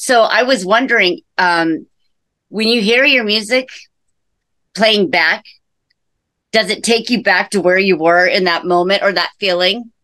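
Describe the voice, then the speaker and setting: On a very clean recording with a silent background, a woman with a bright, sharp tone speaks at medium pitch and a fairly slow pace, using ordinary pitch variation, very even loudness and long, frequent pauses. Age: 40s. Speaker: podcast host. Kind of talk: interview. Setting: recording studio.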